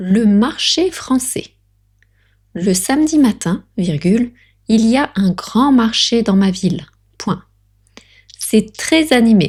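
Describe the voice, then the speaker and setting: A somewhat breathy woman with a fairly high pitch speaks at a very slow pace with very wide pitch swings, very even loudness and long, frequent pauses. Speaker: French tutor. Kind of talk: language lesson dictation reading. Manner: natural pace reading.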